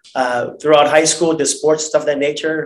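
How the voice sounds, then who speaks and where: Fairly high in pitch, this man has an ordinary speaking voice. He speaks at a fairly quick pace. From Cleveland, Ohio. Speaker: business development director, military veteran. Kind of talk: interview.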